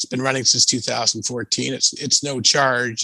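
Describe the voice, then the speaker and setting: A fairly quick, monotone, flat delivery in a Canadian accent, with a dry, close sound with no echo and noticeable background noise. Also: man. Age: 60s. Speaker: financial writer and blogger. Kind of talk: interview. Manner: halting, many fillers.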